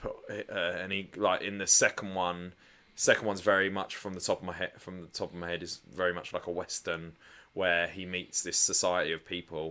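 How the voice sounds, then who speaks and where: With a British accent, the voice moves at a fairly quick pace in a very clean recording with a silent background. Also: man. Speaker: podcast co-host. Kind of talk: casual chat. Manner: loud.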